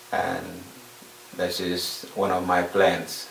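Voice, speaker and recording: Noticeable background noise and audible room echo surround a man speaking with a very deep, low pitch. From South Sudan. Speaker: refugee. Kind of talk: personal testimony. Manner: halting, many fillers.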